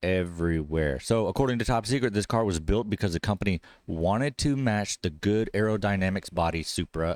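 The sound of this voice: Someone reads in an unforced voice.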